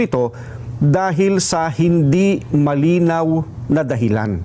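Noticeable background noise sits behind a man's voice. He has a fairly high pitch and lively intonation. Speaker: statement reader. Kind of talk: formal statement reading, rally-style address. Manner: formal, solemn, measured.

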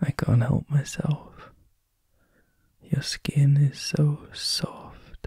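A man's somewhat breathy voice, fairly high in pitch with a dark, mellow tone, in monotone, flat intonation at a very slow pace with long, frequent pauses, the sound dry and close with no echo. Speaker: ASMR roleplay performer. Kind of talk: ASMR comfort roleplay. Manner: soft-spoken, tender.

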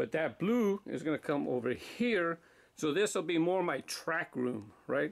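At a moderate pace, a man talks with a high pitch. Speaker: toy track channel host. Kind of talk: casual vlog chat. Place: office. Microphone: phone near.

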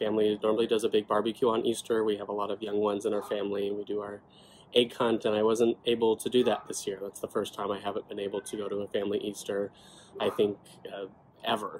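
Over light background noise, a man with a fairly low pitch speaks at a very fast pace with monotone, flat intonation. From California. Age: 20s. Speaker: rare disease advocate, legislative aide. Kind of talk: personal testimony to camera. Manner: casual, conversational. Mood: earnest, calm. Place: home room. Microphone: phone near.

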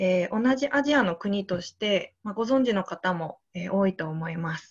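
Against a quiet background, the speaker is heard. The voice carries some breathiness. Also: woman. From Niigata, Japan; Japan. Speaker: teacher, youth volunteer. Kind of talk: slide presentation. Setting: video call. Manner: formal, frequent filler えー. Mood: calm, earnest. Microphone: video call.

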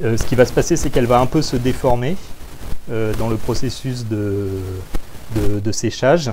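Somewhat breathy, a man speaks at a fairly slow pace. His intonation is fairly even, and there is light background noise. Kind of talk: interview answer. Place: workshop. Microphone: lapel.

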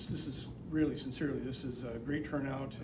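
A man amid noticeable background noise. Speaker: town mayor. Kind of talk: welcome speech at public meeting. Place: meeting room. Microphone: camera far.

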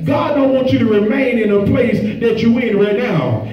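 This man has an extremely high pitch and ordinary pitch variation at a moderate pace. Audible room echo is present. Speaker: preacher. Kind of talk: sermon. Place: church.

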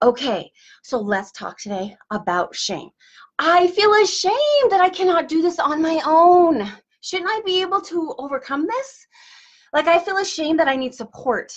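A woman with an extremely high voice talks at a moderate pace against a quiet background. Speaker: wellness coach. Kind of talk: motivational live-stream talk. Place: office. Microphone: webcam.

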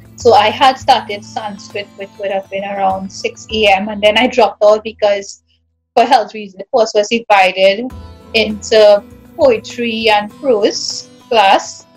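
Faint music plays behind a woman's voice. She speaks at a fairly slow pace with fairly even intonation. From Trinidad and Tobago. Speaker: English teacher. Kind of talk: interview answer. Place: home room. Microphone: video call.

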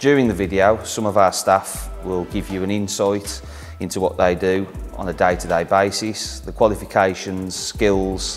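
This man's voice is very deep and low, with ordinary pitch variation at a moderate pace. Faint music plays in the background. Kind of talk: corporate interview introduction. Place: workshop.

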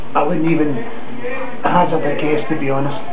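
A man talks over loud background noise. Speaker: commentator. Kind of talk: casual opinion talk. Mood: skeptical, opinionated. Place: home room. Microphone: webcam.

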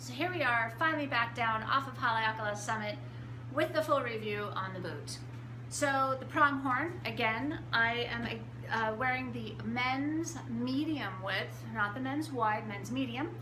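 Against noticeable background noise, a woman talks at a fairly slow pace. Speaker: shop owner reviewing boots. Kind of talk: product review talk. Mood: enthusiastic and satisfied. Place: shop. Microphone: phone near.

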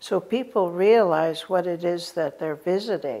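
A woman with an American accent speaks in a dark, mellow tone. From Oregon, Warm Springs reservation. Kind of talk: interview answer. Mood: warm, reflective. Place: home room.

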